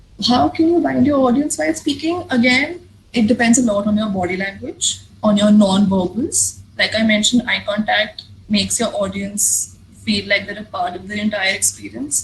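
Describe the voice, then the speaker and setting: At a moderate pace, a woman of medium pitch speaks with vocal fry and very wide pitch swings. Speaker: public speaking workshop speaker. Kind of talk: workshop talk with Q&A.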